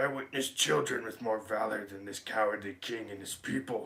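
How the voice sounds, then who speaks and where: A man's put-on character voice at medium pitch, moving at a fairly quick pace. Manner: menacing.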